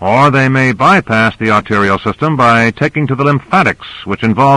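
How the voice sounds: Throughout, the text comes in a natural reading voice.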